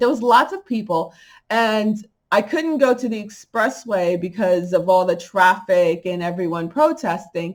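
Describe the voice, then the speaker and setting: In a New York accent, a woman speaks at a fairly slow pace with lively intonation and an animated tone, recorded very cleanly with a silent background. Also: medium pitch for a woman. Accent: New York accent, coming through. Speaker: spiritual channel vlogger. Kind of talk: casual vlog monologue.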